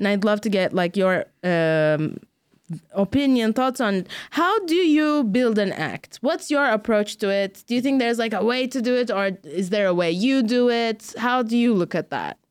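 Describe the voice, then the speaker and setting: In a plain, everyday voice, a woman talks at a moderate pace with fairly high pitch, lively intonation and very even loudness, on a very clean recording with a silent background. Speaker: comedian. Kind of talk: casual chat.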